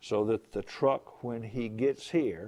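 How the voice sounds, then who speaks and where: Against a quiet background, a man with a fairly low pitch and a dark, mellow tone talks at a fairly slow pace. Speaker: engineering professor. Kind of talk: lecture.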